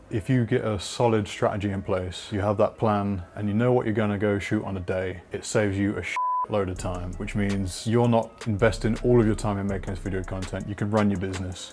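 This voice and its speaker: Over noticeable background noise, a man with a British accent talks at a fairly quick pace with hardly any pauses, his fairly low pitch held in monotone, flat intonation. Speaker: video producer. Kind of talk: tutorial. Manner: casual, informal.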